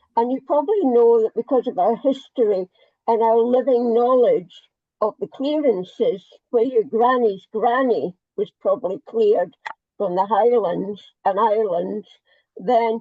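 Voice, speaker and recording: A woman speaks in a Scottish accent at a fairly slow pace. Her pitch is fairly high. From Scotland. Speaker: party member asking a question. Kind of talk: audience comment in online live Q&A.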